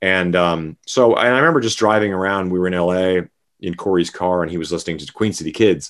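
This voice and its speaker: On a very clean recording with a silent background, a man with a Canadian accent speaks in a very deep, low voice. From Saskatchewan, Canada. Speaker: rock bassist. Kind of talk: interview.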